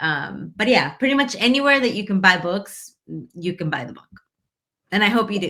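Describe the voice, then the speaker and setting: Her voice is bright and sharp at a medium pitch, moving at a moderate pace. The woman's pitch swings very widely and her loudness shifts a lot. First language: Spanish. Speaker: author and immigrant rights activist. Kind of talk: interview.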